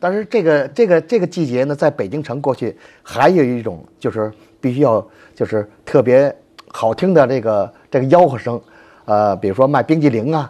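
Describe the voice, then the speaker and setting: Using a Beijing accent, a man speaks at a fairly high pitch and moderate pace, with a dark, mellow tone and lively intonation. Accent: Beijing Mandarin, strong erhua. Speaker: folk culture expert. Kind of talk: casual explanation. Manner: animated.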